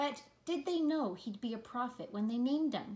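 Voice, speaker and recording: A woman does a put-on character voice at a high pitch. Her pace is moderate. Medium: read story. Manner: soft, curious.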